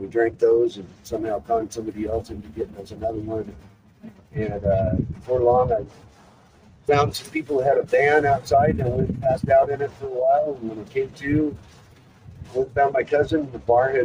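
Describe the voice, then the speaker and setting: Speaking with an American accent, a man talks at a fairly quick pace and medium pitch with ordinary pitch variation. His loudness swings widely, and background noise is noticeable. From US Pacific Northwest, Seattle. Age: 60s. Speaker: person in addiction recovery. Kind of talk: personal testimony. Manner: halting, many fillers.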